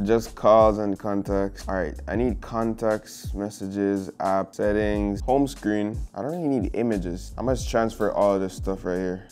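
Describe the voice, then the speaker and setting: Over faint background music, a man with a fairly low voice talks at a fairly slow pace with ordinary pitch variation. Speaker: tech vlogger. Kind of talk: casual vlog chat. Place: home room. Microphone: lapel.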